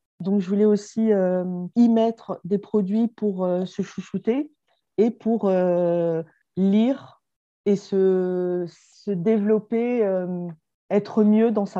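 At a very slow pace, a woman speaks with a medium pitch, fairly even intonation and a dark, mellow tone. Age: 40s. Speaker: entrepreneur. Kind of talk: interview. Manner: hesitant with fillers.

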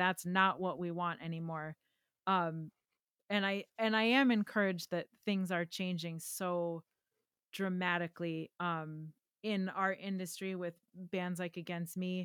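A woman with an American accent at a fairly slow pace, in a very clean recording with a silent background. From Wisconsin, US Midwest. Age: 30s. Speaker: pedal builder, guitar pedal company guest. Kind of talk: casual chat.

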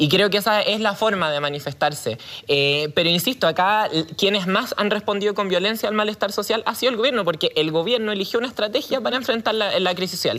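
Very fast talking with lively intonation over noticeable background noise. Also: woman, medium pitch for a woman. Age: 20s. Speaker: political candidate. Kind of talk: televised debate.

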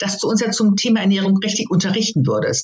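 The pitch is medium. The speaker is a woman. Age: 60s. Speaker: course participant. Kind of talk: interview.

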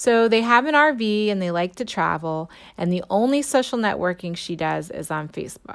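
A woman with a normal speaking voice, lively intonation and a moderate pace, on a very clean recording with a silent background. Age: 40s. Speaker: educator and podcast host. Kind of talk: scripted narration; interview questions.

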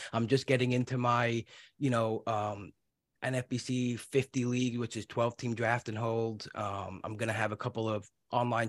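In a New York accent, the speaker goes at a moderate pace with monotone, flat intonation, the sound dry and close with no echo in a very clean recording with a silent background. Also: man. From New York City (Brooklyn). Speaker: podcast host. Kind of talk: casual interview; podcast intro.

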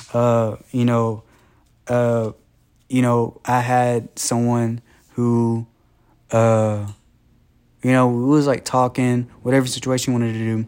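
A man speaks at a medium pitch and a fairly slow pace, with long, frequent pauses and very even loudness. His intonation is monotone and flat, on a very clean recording with a silent background. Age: 20s. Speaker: podcast host. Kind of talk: casual monologue. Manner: laughs often.

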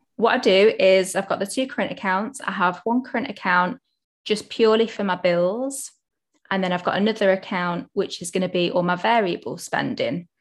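A woman with an ordinary speaking voice talks at a medium pitch with ordinary pitch variation, on a very clean recording with a silent background. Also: moderate pace. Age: 20s. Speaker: accountant and financial educator. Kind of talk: casual chat.

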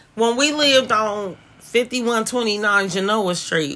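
A woman at medium pitch sounds animated, with a bright, sharp tone and ordinary pitch variation. The recording is very clean with a silent background. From Oakland, California. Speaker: podcast co-host. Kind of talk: casual chat.

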